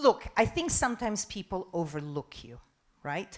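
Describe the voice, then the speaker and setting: A woman with an Italian accent, very wide pitch swings and a fairly slow pace. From Italy. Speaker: TV news presenter and journalist. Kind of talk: conference talk and Q&A.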